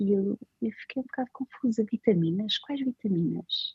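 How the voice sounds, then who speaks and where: A woman is speaking. Her pace is fairly slow. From Portugal. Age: 30s. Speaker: designer. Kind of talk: interview. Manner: halting.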